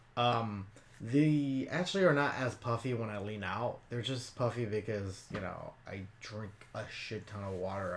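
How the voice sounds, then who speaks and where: Audible room echo surrounds a man whose voice sits fairly low. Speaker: YouTuber and cosplayer. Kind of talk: Q&A vlog. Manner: casual, rambling with fillers.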